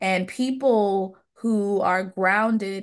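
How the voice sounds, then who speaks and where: A woman's medium-pitched voice with fairly even intonation against a quiet background. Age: 30s. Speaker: public health doctoral candidate. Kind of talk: interview. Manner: slow, relaxed speech.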